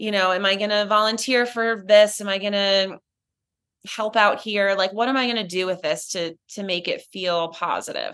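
In a plain, everyday voice, a woman speaks at a medium pitch and moderate pace with fairly even intonation over a quiet background. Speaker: breast cancer survivor and ceramic artist. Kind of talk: casual interview chat.

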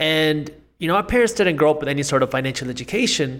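In a very clean recording with a silent background, a man with a normal speaking voice talks at a fairly high pitch with lively intonation. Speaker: entrepreneur and finance YouTuber. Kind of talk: interview conversation about finance.

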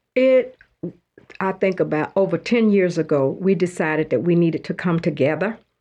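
Speaking at a moderate pace, a woman with an American accent has a fairly low pitch and a dark, mellow tone. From North Carolina (Davidson, near Charlotte). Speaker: retired schoolteacher. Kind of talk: radio interview. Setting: radio studio.

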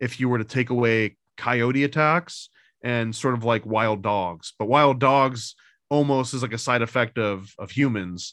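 A man with an upstate New York accent talks against a quiet background. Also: medium pitch for a man, ordinary pitch variation, fairly slow pace. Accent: American, upstate New York. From US, upstate New York. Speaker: comic book creator. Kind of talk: casual chat.

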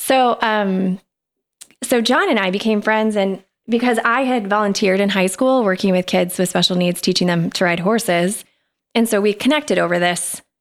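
With an ordinary speaking voice, a woman talks at a moderate pace and medium pitch, her loudness very even and her pitch variation ordinary. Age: 40s. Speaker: guest, former store manager. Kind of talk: casual interview chat.

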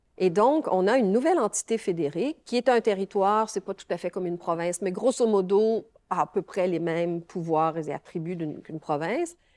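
A woman speaks at a medium pitch with lively intonation. The recording is very clean and dry, close with no echo, over a silent background. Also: fairly quick pace. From Quebec. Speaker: law professor. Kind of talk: interview. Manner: halting.

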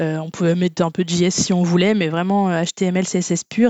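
A woman's fairly low-pitched voice in a monotone, flat intonation. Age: 30s. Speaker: web developer, former archaeologist. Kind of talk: casual interview.

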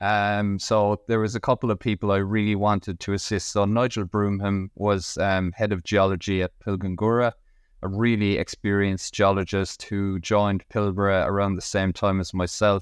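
A man with an Irish accent talks at a fairly low pitch in a monotone, flat intonation with hardly any pauses, against a quiet background. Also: moderate pace. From Ireland. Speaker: mining company executive. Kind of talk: interview.

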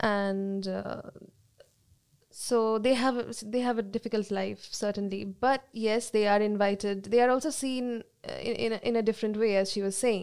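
Speaking at a moderate pace, a woman with a Bengali accent has a fairly high pitch and fairly even intonation. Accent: Indian English, Bengali. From India, Calcutta. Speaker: sociology student. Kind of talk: panel discussion.

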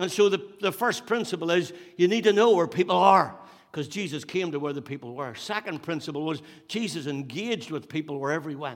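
With a Northern Irish accent, a man speaks high for a man at a fairly quick pace with lively intonation. The recording is very clean with a silent background. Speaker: pastor. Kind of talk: sermon. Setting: church.

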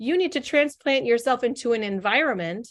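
This is an ordinary speaking voice with an American accent. It moves at a moderate pace with lively intonation. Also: woman. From Northern California. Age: 40s. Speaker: business coach. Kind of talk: interview conversation.

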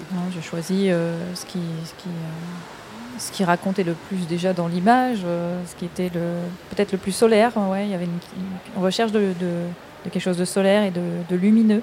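A woman's loudness swings widely while her intonation stays fairly even, with audible room echo and noticeable background noise. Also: medium pitch for a woman, moderate pace. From France. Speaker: film director. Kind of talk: casual chat. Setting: stage with audience. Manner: halting.

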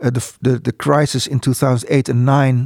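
Fairly even intonation and a moderate pace in a Dutch accent, with a dry, close sound and no echo. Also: man. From Netherlands, Spijkenisse near Rotterdam. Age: 60s. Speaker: port economist. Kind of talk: interview. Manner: halting.

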